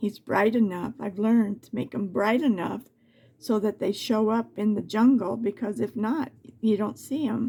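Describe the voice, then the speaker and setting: A woman speaks at a moderate pace in a fairly high voice with a dark, mellow tone. Vocal fry comes through, and her pitch varies in an ordinary way. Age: 70s. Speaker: crafts video creator. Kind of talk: tutorial. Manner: halting.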